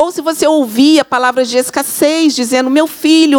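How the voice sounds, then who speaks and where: The speaker is a woman with fairly even intonation. She talks at a moderate pace. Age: 50s. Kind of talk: church talk.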